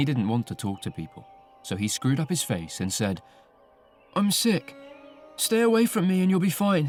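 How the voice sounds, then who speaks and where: A man's high voice at a moderate pace, with very wide pitch swings, long, frequent pauses and music in the background. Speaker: audiobook narrator. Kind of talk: audiobook reading. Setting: studio. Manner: narrative storytelling.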